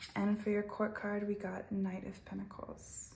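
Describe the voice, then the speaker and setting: Noticeable background noise runs under the recording. A woman speaks over it at a moderate pace. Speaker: tarot reader. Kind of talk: tarot reading. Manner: halting.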